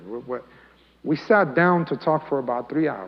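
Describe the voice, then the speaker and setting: Pitched fairly high, a man speaks at a fairly quick pace, his voice making very wide pitch swings. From Colombia, raised in US from age eight. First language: Spanish. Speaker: imam. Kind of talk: talk to youth, personal testimony. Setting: mosque, youth audience. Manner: casual, conversational.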